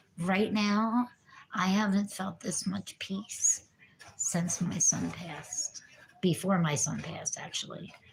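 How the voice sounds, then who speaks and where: A woman's medium-pitched voice, with ordinary pitch variation, moves very slowly over noticeable background noise. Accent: American. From New Jersey. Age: 50s. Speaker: recovering addict vlogger. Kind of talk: casual livestream chat. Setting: livestream.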